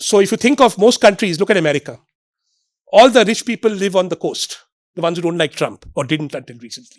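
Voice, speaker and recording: A man with an Indian accent talks at a very fast pace in a high voice, his intonation lively and his loudness swinging widely. The recording is very clean and dry, close with no echo, against a silent background. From India, Bombay. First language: Marathi. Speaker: economist. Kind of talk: public lecture. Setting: stage with audience. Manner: animated.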